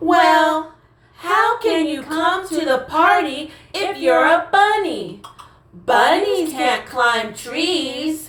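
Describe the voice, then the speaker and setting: A put-on character voice, high in pitch, is delivered at a very slow pace with a slight echo. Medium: audio drama. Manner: excited, chattering.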